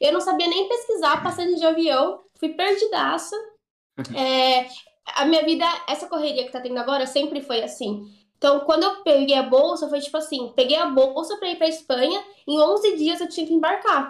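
High-pitched and lively in intonation, a woman speaks at a moderate pace. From São Paulo, Brazil. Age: 20s. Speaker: physicist and science communicator. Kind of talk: casual chat.

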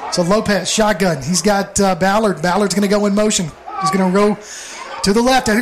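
This man talks at a fairly quick pace over noticeable background noise. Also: ordinary pitch variation. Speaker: play-by-play announcer. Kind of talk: live sports commentary. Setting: stadium broadcast booth. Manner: brisk, energetic play-by-play calling.

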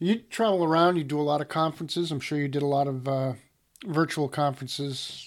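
A man's plain, everyday voice at a fairly high pitch, with ordinary pitch variation, on a very clean recording with a silent background. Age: 50s. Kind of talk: casual chat.

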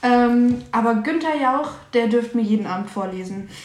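Amid noticeable background noise and audible room echo, a woman talks with a fairly high pitch and lively intonation. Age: 20s. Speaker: podcast co-host. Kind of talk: casual chat.

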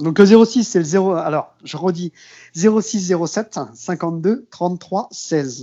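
The man's voice sits high in pitch, with ordinary variation. He talks at a very slow pace. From western France, Maine-et-Loire near Cholet. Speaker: accordionist. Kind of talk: casual interview.

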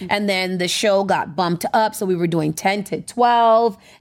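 With a normal speaking voice, a woman talks at a medium pitch and a moderate pace. Her intonation is fairly even, and the recording is very clean with a silent background. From US, born in America. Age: 30s. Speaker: radio station owner and DJ. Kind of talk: casual interview chat.

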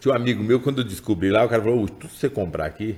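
His tone is dark and mellow, with vocal fry running through it. The man's intonation stays lively. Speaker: writer of chronicles, member of political family. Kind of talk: casual interview.

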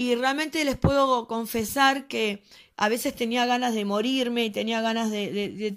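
In a very clean recording with a silent background, a woman with a fairly high pitch uses a normal speaking voice, talking at a fairly slow pace with ordinary pitch variation. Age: 40s. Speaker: pastor. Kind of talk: testimony.

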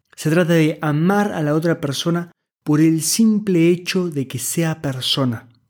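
A man with a fairly high pitch talks at a fairly slow pace in an ordinary speaking voice. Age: 20s. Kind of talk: scripted monologue.

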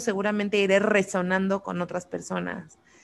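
This woman's voice sits at a medium pitch and moves at a moderate pace. The intonation stays monotone and flat. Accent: Mexican. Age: 30s. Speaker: podcast host. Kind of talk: casual chat. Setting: live stream.

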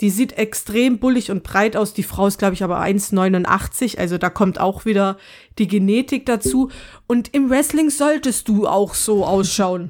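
In a very clean recording with a silent background, a woman speaks in a plain, everyday voice at a medium pitch and fairly slow pace, with ordinary pitch variation. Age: 30s. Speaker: podcast co-host. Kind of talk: casual chat.

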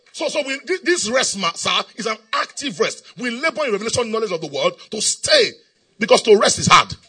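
Music plays in the background as a man speaks in an animated tone. He moves at a fairly quick pace, and his volume swings sharply. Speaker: preacher. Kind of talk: sermon. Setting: church. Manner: animated, call-and-response; repetitive, emphatic.

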